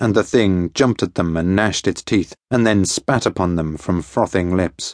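Heard at a moderate pace against a quiet background, the sound is dry and close with no echo. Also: man. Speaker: audiobook narrator. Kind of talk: dramatic audiobook narration, first-person adventure.

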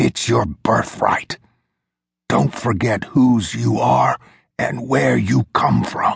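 Using a raspy, put-on character voice, a man speaks very slowly at a very deep, low pitch with very wide pitch swings and very even loudness, the sound dry and close with no echo. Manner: urgent, weak.

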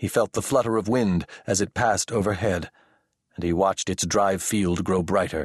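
A man's fairly low voice, an unremarkable speaking voice, at a moderate pace with fairly even intonation, dry, close sound with no echo and a quiet background. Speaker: audiobook narrator. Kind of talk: audiobook narration of sci-fi, with gruff drill instructor character voices.

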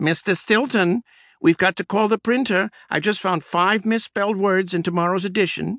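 In a put-on character voice, a man speaks high and squeaky at a moderate pace against a quiet background. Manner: urgent, flustered.

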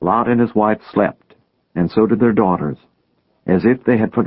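A quiet background under an unforced reading voice

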